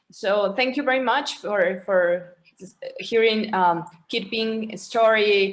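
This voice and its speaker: Very slow speech in a Spanish accent with audible room echo. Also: woman. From Mexico. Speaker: panelist. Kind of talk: panel discussion. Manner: hesitant.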